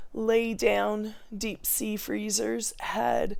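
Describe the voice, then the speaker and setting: Very slow speech from a woman, with noticeable background noise behind it. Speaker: vlogger. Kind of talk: casual chat. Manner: halting.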